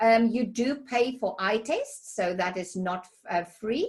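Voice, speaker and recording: A woman speaks in a fairly high pitch with a South African accent. Her voice is somewhat breathy, with ordinary pitch variation. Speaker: healthcare recruiter. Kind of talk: webinar presentation. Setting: online webinar. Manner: hesitant with many fillers.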